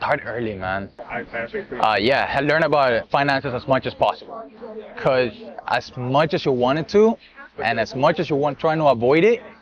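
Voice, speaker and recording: Over noticeable background noise, a man speaks at a moderate pace with a fairly high pitch, very wide pitch swings, and long, frequent pauses. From Colombia. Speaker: credit specialist. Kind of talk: casual interview.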